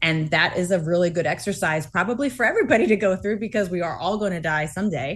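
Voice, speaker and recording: A woman speaks with an American accent in a fairly low, somewhat breathy voice. The background is quiet. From Massachusetts. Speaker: author and astronaut's wife. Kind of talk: interview.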